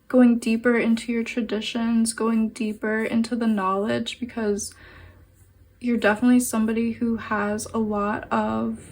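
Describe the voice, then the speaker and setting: Somewhat breathy and fairly high-pitched, a woman speaks at a moderate pace. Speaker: tarot reader. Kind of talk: pick-a-card tarot reading. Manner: halting.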